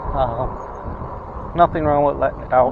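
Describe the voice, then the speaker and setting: A man with an American accent and a fairly high pitch, over noticeable background noise. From US Northeast (Rochester, New York). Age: 60s. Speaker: vlogger with COPD. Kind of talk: casual vlog monologue. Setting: outdoors riding an e-bike. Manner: rambling, hesitant with many fillers.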